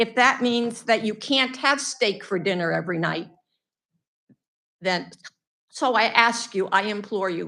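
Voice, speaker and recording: Her voice bright and sharp, a woman with a fairly high pitch and ordinary pitch variation speaks at a fairly slow pace with long, frequent pauses. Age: 80s+. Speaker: member of the public giving comment. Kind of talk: public comment at a meeting. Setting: public board meeting. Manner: outspoken.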